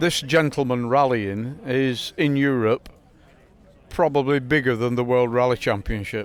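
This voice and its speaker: A man with a northern English accent at a medium pitch, with fairly even intonation, a fairly slow pace and very even loudness. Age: 60s. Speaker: classic rally car owner. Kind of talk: casual chat.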